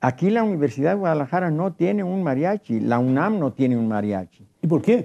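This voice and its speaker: Over a quiet background, a man with a fairly high pitch and a dark, mellow tone speaks at a fairly quick pace with very wide pitch swings and hardly any pauses. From Mexico, southwest Jalisco (near Cocula); Jalisco, Mexico. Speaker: traditional mariachi musician; guest. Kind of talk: televised panel discussion. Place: studio. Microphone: lapel.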